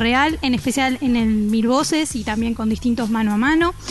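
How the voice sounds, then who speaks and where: A woman's high-pitched voice, moderately paced and with ordinary pitch variation, is heard over noticeable background noise. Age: 30s. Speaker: radio host. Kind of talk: radio news report.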